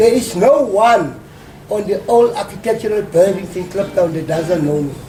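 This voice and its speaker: Noticeable background noise and audible room echo surround a man with a high pitch who talks at a moderate pace with ordinary pitch variation. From South Africa, Soweto. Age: 50s. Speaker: community worker and local researcher. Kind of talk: interview. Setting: hotel.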